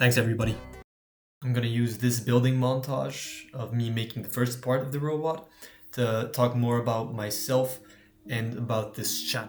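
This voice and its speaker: With a medium pitch and monotone, flat intonation, a man speaks at a moderate pace in audible room echo. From Belgium. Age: 18. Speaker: hobbyist maker YouTuber. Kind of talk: casual vlog narration of a DIY build.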